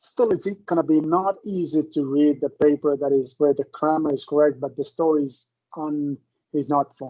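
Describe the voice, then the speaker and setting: A man with a non-native accent speaks at a moderate pace, his pitch fairly high and his tone dark and mellow. His intonation stays fairly even, and the sound is dry and close with no echo. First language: not English. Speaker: professor. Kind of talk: lecture.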